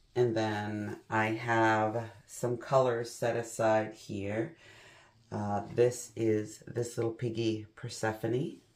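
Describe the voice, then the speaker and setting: The recording is very clean, with a silent background. The speech moves at a very slow pace. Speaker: acrylic pour painting youtuber. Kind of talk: tutorial. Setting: at home.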